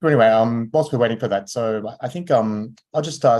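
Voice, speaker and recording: Medium-pitched speech from a man with an Australian accent, at a fairly quick pace. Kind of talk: online lecture. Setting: video call. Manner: hesitant, many fillers.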